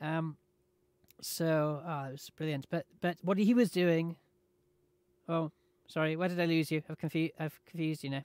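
With a British accent, a man talks at a moderate pace and fairly high pitch, his intonation fairly even and broken by long, frequent pauses, in a dry sound with no echo and a quiet background. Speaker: gaming streamer. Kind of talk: casual chat while gaming livestream. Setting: home livestream. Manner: loud, radio-style projection. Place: home room.

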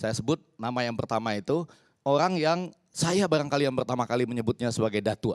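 Talking very fast with ordinary pitch variation, a man is heard against a quiet background. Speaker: communication professor. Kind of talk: talk show panel discussion. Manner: formal. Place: studio. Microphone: handheld.

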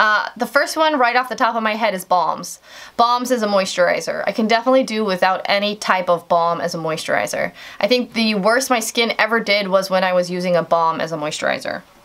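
A woman speaks at a fairly quick pace with ordinary pitch variation. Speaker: beauty vlogger. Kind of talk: casual vlog chat. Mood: relaxed, candid. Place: home room. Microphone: camera far.

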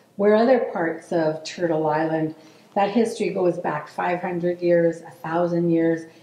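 A woman with fairly low pitch speaks at a fairly slow pace. Her pitch varies in an ordinary way, and there is audible room echo. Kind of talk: formal land welcome speech. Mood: calm, measured. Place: studio.

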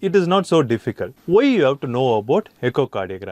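A man with an Indian accent speaks very fast with lively intonation, and the sound is dry with no echo. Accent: Indian English (Tamil). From India, Chennai. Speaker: anesthesia lecturer. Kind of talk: lecture.

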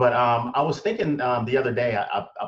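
The speaker is a man talking at a moderate pace. The background is quiet. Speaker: talk show guest. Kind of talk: conversational opinion talk. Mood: earnest, reflective. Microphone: video call.

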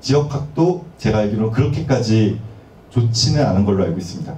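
A man with a medium pitch talks at a fairly quick pace. His intonation is lively, and the room echo is audible. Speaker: university lecturer in digital humanities. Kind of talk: academic lecture. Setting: seminar hall with audience. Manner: formal, explanatory. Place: meeting room.

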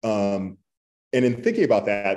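The voice is dark and mellow in tone, with an American accent. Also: man. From Texas (Borger); Texas. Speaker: author; panelist. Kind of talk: panel discussion. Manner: halting. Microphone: video call.

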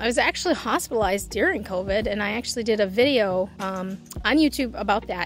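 A woman at a fairly quick pace with ordinary pitch variation, in a dry sound with no echo and light background noise. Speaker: vlogger. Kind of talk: casual vlog chat. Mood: reflective, personal update. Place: open country. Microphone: phone near.

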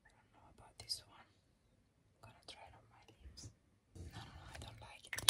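Whispering at a fairly quick pace, a woman leaves long, frequent pauses while her loudness swings widely. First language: not English. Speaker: makeup ASMR creator. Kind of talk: ASMR makeup declutter, casual talk to camera. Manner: whispered. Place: home room.

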